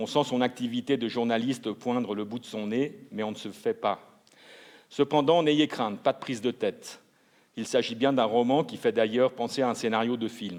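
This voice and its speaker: Pacing himself moderately, a man talks in an unremarkable speaking voice, medium in pitch with ordinary variation. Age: 60s. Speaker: literary jury member. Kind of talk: book presentation at award ceremony. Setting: ceremony hall.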